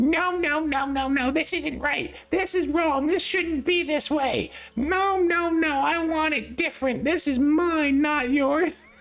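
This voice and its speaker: Putting on a character voice, a man sounds squeaky and nasal at an extremely high pitch, speaking at a fairly slow pace. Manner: whiny, petulant, complaining; exaggerated for demonstration.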